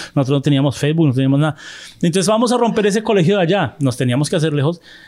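A man with a fairly high pitch for a man. His tone is dark and mellow. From Colombia. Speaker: film podcast host. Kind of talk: casual chat.

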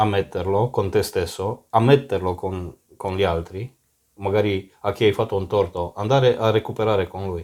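The speaker keeps a moderate pace and fairly even intonation. It is a very clean recording with a silent background. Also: man, fairly low pitch for a man. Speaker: podcast host. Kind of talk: casual chat. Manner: talkative.

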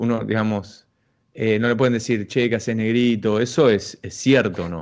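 This is an ordinary speaking voice at a fairly slow pace. The recording is very clean with a silent background. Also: man. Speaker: podcast host. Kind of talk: casual interview.

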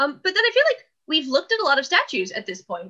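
The voice is raised and projected, with a bright, sharp tone. It moves at a fairly quick pace with very wide pitch swings. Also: woman. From California, US. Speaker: art historian podcast co-host. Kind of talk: casual chat.

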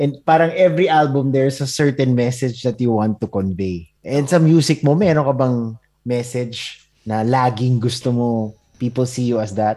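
The man's voice has a dark, mellow tone, a medium pitch, and ordinary pitch variation. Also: moderate pace. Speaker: podcast host. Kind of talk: casual interview chat. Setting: video call.

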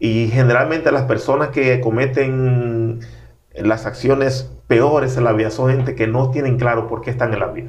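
Audible room echo around a man at medium pitch, moderate pace and fairly even intonation. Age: 40s. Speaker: pastor and author. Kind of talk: interview conversation.

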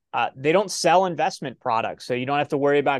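Over a quiet background, a man with a Midwestern American accent is heard in a dry, close sound with no echo. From Ohio. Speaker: self-directed retirement account educator. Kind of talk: interview.

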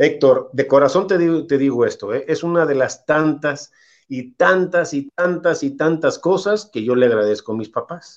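Pitched fairly high, a man with an ordinary speaking voice speaks at a fairly slow pace with ordinary pitch variation over a quiet background. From Mexico, Irapuato (Guanajuato). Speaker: retired football goalkeeper. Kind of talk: interview.

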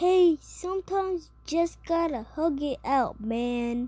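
A put-on character voice, high-pitched, at a fairly slow pace. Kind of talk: casual, friendly. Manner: silly, jovial.

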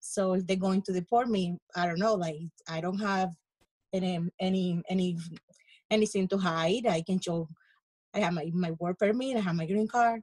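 A woman's medium-pitched, somewhat breathy voice in a coastal Colombian accent, at a moderate pace with long, frequent pauses and a dry, close sound with no echo. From Colombia (coast). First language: Spanish. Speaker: podcast panelist, Colombian immigrant. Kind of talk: casual panel discussion.

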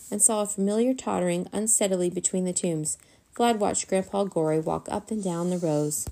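The reading voice sounds natural, and its pitch varies in an ordinary way.

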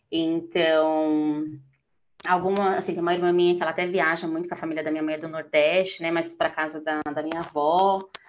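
Her voice fairly low, a woman speaks with monotone, flat intonation. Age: 30s. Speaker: office worker and solo traveler. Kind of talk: casual interview chat.

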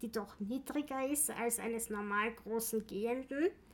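Using a normal speaking voice, a woman speaks at a fairly slow pace and a fairly high pitch. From Austria, Vienna. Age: 40s. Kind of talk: interview. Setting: office.

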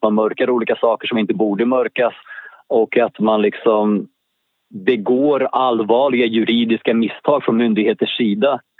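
This voice belongs to a man. It rests at a middle pitch. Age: 40s. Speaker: convicted murderer. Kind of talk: interview. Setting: phone call.

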